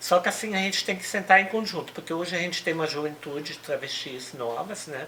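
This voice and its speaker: Noticeable background noise sits behind a woman's voice. She talks at a moderate pace, with a very deep, low pitch and lively intonation. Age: 60s. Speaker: human rights activist. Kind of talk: interview.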